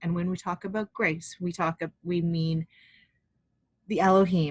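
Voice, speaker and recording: A somewhat breathy woman's voice, fairly low in pitch. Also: dry, close sound with no echo. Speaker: life purpose coach and spiritual healer. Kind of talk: guided healing session. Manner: fast; hesitant, many ums.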